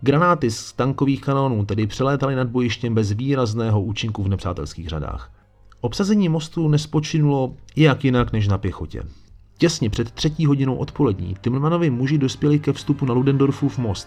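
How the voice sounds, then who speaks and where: At a medium pitch, a man speaks fairly quickly with lively intonation. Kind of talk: history documentary narration. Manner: dramatic, measured storytelling pace with a solemn tone; formal, chapter-by-chapter narration, occasionally conversational asides.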